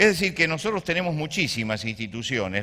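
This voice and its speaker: A man speaks at a fairly high pitch. His tone is bright and sharp. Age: 60s. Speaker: pastor. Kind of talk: sermon. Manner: halting.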